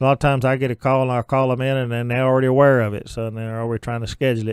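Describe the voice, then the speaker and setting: The speaker has an Ozark accent and a monotone, flat intonation, heard in a dry, close sound with no echo. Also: man. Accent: Ozark southern US. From Arkansas, Ozarks. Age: 60s. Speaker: county judge. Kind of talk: radio interview.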